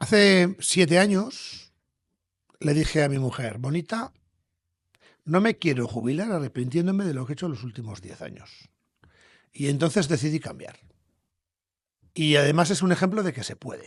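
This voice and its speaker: Speaking at a moderate pace with long, frequent pauses, a man with a fairly high voice and lively intonation swings widely in loudness against a quiet background. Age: 60s. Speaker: entrepreneur, company founder. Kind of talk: podcast interview.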